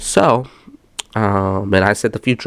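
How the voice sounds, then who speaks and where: Against noticeable background noise, a man with a fairly low pitch talks in fairly even intonation. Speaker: gaming YouTuber. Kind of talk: casual vlog commentary. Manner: low-energy; hesitant, many fillers.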